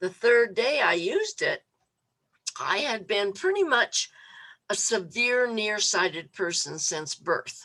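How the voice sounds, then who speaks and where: The woman's tone is animated, bright and sharp. She speaks at a fairly slow pace. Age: 70s. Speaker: registered nurse and product testimonial guest. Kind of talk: testimony. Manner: animated storytelling.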